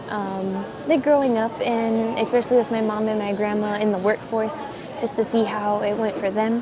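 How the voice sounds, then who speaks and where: A woman talks with a fairly high pitch and fairly even intonation. Room echo is audible, along with noticeable background noise. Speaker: vlogger. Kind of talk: casual vlog monologue. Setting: airport. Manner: fast.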